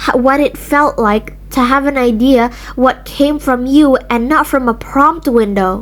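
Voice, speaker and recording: A woman talks at a fairly slow pace in a high voice with ordinary pitch variation. Noticeable background noise can be heard. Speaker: video essayist. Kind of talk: rant video. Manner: halting.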